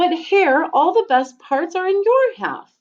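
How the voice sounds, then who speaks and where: Using a put-on character voice, a woman speaks squeakily at an extremely high pitch and a fairly slow pace. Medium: read story. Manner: slow, drowsy.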